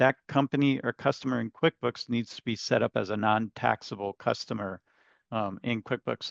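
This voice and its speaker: A man talks at a moderate pace with ordinary pitch variation. The sound is dry with no echo, over a quiet background. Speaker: software trainer. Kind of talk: webinar tutorial. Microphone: webcam.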